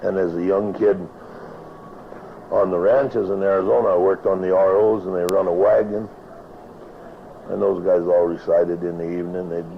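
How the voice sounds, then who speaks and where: A man with an American accent speaks in a very deep, low voice at a fairly quick pace, with fairly even intonation. He takes long, frequent pauses, and noticeable background noise is present. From Nevada. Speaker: cowboy poet and rancher. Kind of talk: interview answer. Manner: casual, rambling.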